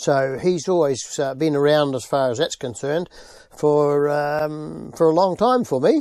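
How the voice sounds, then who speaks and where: With a New Zealand accent, a man speaks at a fairly slow pace. His pitch is fairly high, with ordinary pitch variation. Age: 70s. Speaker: interviewee, family friend of racer. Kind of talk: interview.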